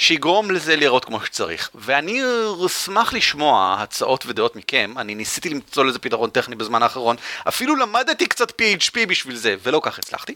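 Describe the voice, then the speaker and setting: A man's voice with very wide pitch swings, dry and close with no echo. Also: fairly high pitch for a man. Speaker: podcast host. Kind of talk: casual chat. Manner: fast.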